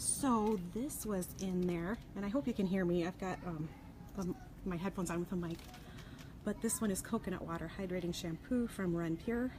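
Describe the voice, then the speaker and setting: A woman whispers quietly. Her pace is moderate. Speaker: consumer product safety vlogger. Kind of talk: casual live vlog from a store. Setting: in a store. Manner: hushed, partly whispering; hesitant, many fillers.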